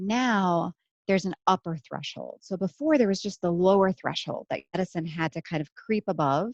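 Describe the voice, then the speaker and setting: A woman speaks at a moderate pace and a medium pitch, with a dry, close sound, no echo and a quiet background. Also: ordinary pitch variation. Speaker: neurologist. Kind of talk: lecture. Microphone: head-mounted mic, sounds quiet.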